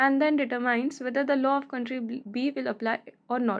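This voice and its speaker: Over a quiet background, a woman with an Indian accent speaks at a moderate pace in a high voice with ordinary pitch variation. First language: Hindi. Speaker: law tutor. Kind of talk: tutorial.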